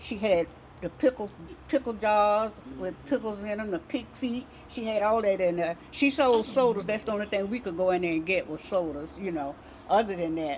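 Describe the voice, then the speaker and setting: A plain, everyday voice in an American accent, at a moderate pace with lively intonation. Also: woman, medium pitch for a woman. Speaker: community elder. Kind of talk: oral history interview.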